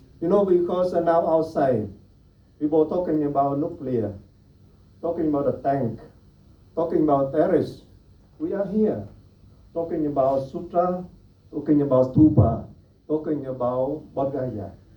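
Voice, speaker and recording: Audible room echo surrounds a man's dark, mellow voice, fairly high in pitch, with ordinary pitch variation, a moderate pace and long, frequent pauses. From Vietnam. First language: Vietnamese. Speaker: Buddhist monastic speaker. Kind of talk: panel talk.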